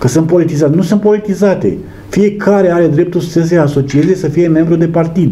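Speaking at a fairly quick pace, a high-pitched man keeps very even loudness and fairly even intonation. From Romania. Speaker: local politician and teacher; guest or host on political show. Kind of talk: TV election interview. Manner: halting, many fillers. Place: studio.

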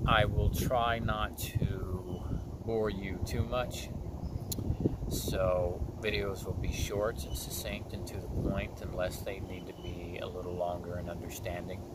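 A man speaks fairly slowly, his voice dry and echo-free against loud background noise. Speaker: wellness coach. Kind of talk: channel intro monologue. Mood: calm, earnest. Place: waterside. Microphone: phone near.

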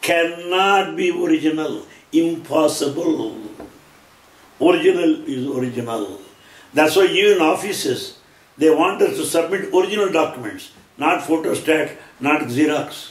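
With an Indian accent, a man speaks at a moderate pace with long, frequent pauses, amid audible room echo. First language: Telugu. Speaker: lecturer on Sai Baba teachings. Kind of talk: lecture. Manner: formal. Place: home room.

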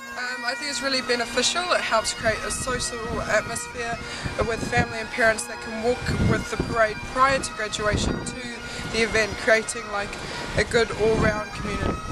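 Moderate pace over loud background music, with a dry sound and no echo. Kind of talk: interview answer. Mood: relaxed, cheerful. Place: street. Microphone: phone near.

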